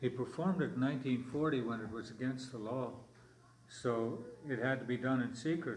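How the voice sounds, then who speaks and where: A man speaks at a fairly quick pace and medium pitch with fairly even intonation. Audible room echo and noticeable background noise come through. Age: 70s. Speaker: elder historian and storyteller. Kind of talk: language class storytelling. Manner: halting.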